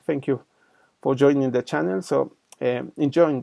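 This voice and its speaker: Speaking at a moderate pace with a Spanish accent, a man is heard in a dry, close sound with no echo. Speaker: engineering lecturer. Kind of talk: channel introduction; lecture. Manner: halting, many fillers.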